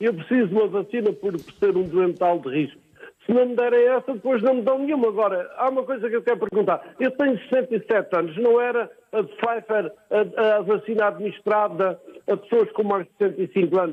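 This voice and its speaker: With ordinary pitch variation, a man talks at a fairly quick pace in a high pitch. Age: 60s. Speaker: caller. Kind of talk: call-in comment.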